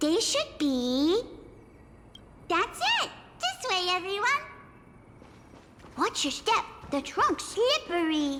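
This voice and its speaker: A put-on character voice, extremely high, squeaky and bubbly in tone, swings very widely in pitch at a fairly slow pace over clear background noise. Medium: video game. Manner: bubbly, excitable.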